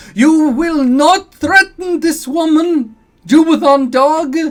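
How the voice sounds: In a put-on character voice, a man speaks very slowly at an extremely high, shrill pitch.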